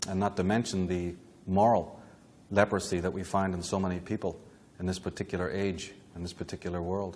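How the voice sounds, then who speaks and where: A man's very deep, low voice, monotone and flat in intonation, at a fairly quick pace. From Northern Ireland, Belfast. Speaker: lecturer on esoteric history. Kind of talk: lecture. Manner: formal.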